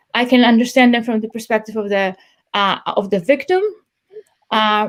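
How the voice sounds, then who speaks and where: A woman with a non-native accent talks at a fairly quick pace and fairly high pitch, her intonation fairly even. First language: not English. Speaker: police trainer. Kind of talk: interview. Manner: halting, many repeated words.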